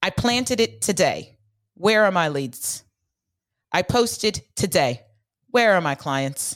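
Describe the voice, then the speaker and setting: A woman with vocal fry and medium pitch speaks at a fairly slow pace with very wide pitch swings, in a dry, close sound with no echo on a very clean recording with a silent background. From US West Coast, San Francisco Bay Area. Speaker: business founder and mentor. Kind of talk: interview.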